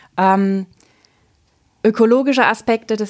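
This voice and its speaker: Here is a woman with an unremarkable speaking voice, talking at a fairly slow pace with ordinary pitch variation. The recording is very clean, with a silent background. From Southern Palatinate, Germany. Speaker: teacher and cloth diaper consultant. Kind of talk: podcast interview.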